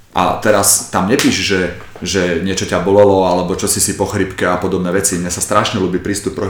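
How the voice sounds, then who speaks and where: A man speaks at a fairly quick pace in a very deep, low voice with flat, monotone intonation. Noticeable background noise and audible room echo are present. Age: 40s. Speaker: martial arts coach. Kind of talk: casual chat.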